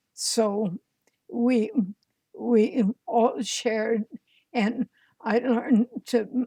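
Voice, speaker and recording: A woman's very slow, dark, mellow voice with an American accent, fairly high in pitch with ordinary pitch variation, in a dry, close sound with no echo. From Indiana. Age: 80s+. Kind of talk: interview answer.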